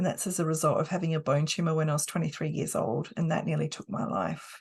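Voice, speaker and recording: A woman with an Australian accent speaks at a very fast pace. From Australia, South Australia. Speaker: hypnotherapist and coach. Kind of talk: course talk.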